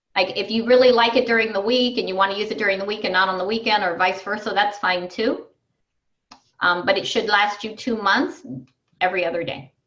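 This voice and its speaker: In a room with audible echo, a woman speaks at a fairly quick pace, her medium pitch showing ordinary variation. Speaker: wellness coach. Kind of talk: online group coaching call.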